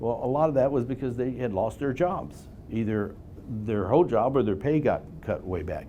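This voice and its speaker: This man has a dark, mellow tone at a medium pitch, speaking at a moderate pace with vocal fry and lively intonation. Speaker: real estate investment presenter. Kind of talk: investor seminar presentation. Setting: live-streamed meeting with audience.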